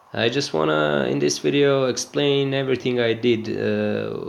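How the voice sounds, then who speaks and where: A man speaks at a medium pitch while noticeable background noise carries on. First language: not English. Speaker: gaming video creator. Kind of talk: gameplay commentary tutorial. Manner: hesitant, many filler sounds.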